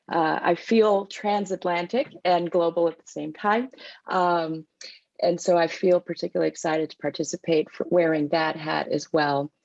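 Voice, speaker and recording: A woman with an American accent speaks at a moderate pace in a plain, everyday voice, her pitch fairly low and its variation ordinary. Her loudness swings widely, and the sound is dry and close with no echo. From United States. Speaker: policy executive, former lawyer. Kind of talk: panel discussion.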